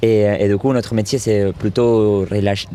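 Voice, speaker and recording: Amid noticeable background noise, a man with a slight Argentine accent speaks at a moderate pace, fairly low in pitch, with fairly even intonation. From Argentina. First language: Spanish (speaking French). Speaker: circus artist and stuntman. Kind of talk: interview. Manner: halting.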